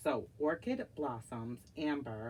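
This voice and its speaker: A woman with a very deep, low pitch speaks in a dark, mellow tone with lively intonation. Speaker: wax melt reviewer. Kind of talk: casual product review. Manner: slow.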